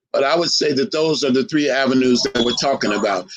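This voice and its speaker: Lively intonation colors an unremarkable speaking voice that moves at a moderate pace. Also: man. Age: 60s. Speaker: historian lecturer. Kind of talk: lecture.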